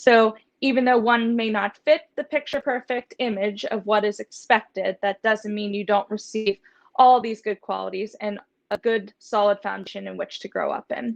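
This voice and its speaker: In a normal speaking voice, a woman with fairly high pitch and fairly even intonation talks at a moderate pace, with a dry, close sound with no echo over a quiet background. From US, southwestern Pennsylvania near Pittsburgh. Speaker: veterinary student and author. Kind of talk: interview.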